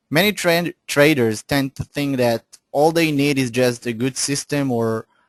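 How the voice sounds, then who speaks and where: A man with a non-native accent and a fairly high pitch, at a moderate pace, in a dry, close sound with no echo and a quiet background. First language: not English. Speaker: forex analyst. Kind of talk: webinar. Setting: online webinar. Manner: halting, with fillers and restarts.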